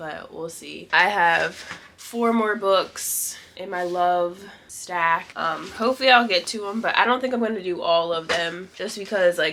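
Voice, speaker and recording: This woman's voice sits fairly low in pitch, with a bright, sharp tone at a moderate pace. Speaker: book vlogger. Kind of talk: casual talk to camera.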